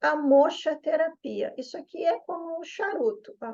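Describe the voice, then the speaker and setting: This woman's voice has a dark, mellow tone and unfolds fairly slowly. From southern Brazil, Porto Alegre. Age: 50s. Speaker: yoga therapist and Chinese medicine practitioner. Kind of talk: promotional explainer video.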